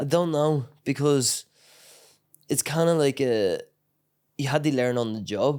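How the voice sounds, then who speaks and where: A man's fairly even-toned voice in a Northern Irish accent. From Northern Ireland, County Tyrone. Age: 20s. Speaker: MMA fighter. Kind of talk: casual chat. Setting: training camp in Thailand.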